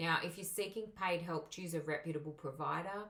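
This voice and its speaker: A woman with a strong Australian accent sounds somewhat breathy, her pitch varying in an ordinary way. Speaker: migration agent and English teacher. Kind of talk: tutorial.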